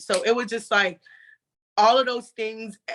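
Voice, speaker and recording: A woman speaking at a moderate pace. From US South. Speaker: roundtable participant. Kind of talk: casual chat, personal story.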